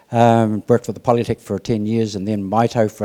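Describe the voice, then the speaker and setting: In a Southland New Zealand accent, a man speaks at a fairly low pitch in a dark, mellow tone with monotone, flat intonation, recorded with a dry, close sound and no echo. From New Zealand, Southland. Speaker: retired mechanic. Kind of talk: testimony. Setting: church.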